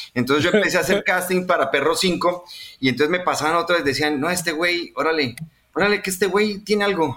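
Speaking with a Colombian accent, a man uses a high pitch. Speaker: voice actor. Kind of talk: casual chat. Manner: animated.

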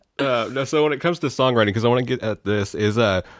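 Speaking very fast with an American accent, a man shows ordinary pitch variation on a very clean recording with a silent background. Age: 30s. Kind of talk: casual chat, laughing interviewer. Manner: animated, jumps in with laughter.

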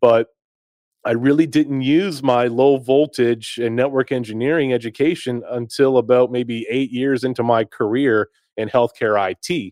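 A man with an American accent has a plain, everyday voice, medium pitch and fairly even intonation, speaking at a moderate pace in a dry, close sound with no echo. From US South, North Carolina. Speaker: low voltage technician and online community founder. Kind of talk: casual interview. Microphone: new camera and microphone setup.

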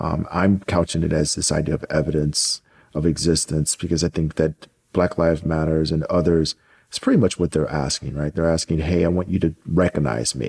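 At a fairly quick pace, the voice shows vocal fry, with a dry, close sound and no echo. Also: man, very deep, low pitch for a man, fairly even intonation. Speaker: podcast host. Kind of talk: interview.

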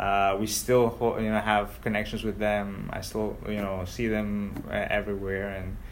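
Heard with audible room echo, the speaker uses a Spanish accent and a monotone, flat intonation, moving at a fairly slow pace with hardly any pauses. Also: man, fairly low pitch for a man. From Ecuador. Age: 30s. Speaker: local politician. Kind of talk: interview.

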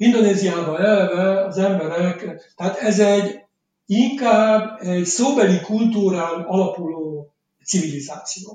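At a fairly slow pace, a man talks in a high-pitched voice with a dark, mellow tone and ordinary pitch variation. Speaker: novelist. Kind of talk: interview. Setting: remote call from Jakarta.

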